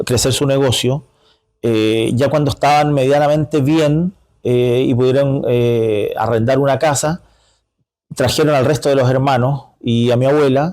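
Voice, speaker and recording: A man with a Chilean accent speaks at a fairly slow pace in a fairly high pitch, with a dark, mellow tone, fairly even intonation and very even loudness. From northern Chile, Iquique. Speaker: community leader. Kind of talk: interview. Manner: halting, many fillers.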